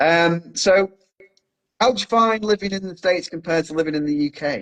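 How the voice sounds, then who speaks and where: In a dry, close recording with no echo, a man with an English accent talks at a fairly quick pace and a high pitch, with ordinary pitch variation. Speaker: podcast host. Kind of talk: casual chat.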